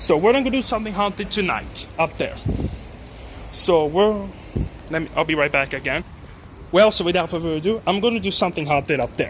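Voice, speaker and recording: Over noticeable background noise, a man with a French accent talks at a fairly quick pace in a high pitch, with lively intonation and long, frequent pauses. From France. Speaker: elevator enthusiast vlogger. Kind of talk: casual vlog narration. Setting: parking garage. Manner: halting.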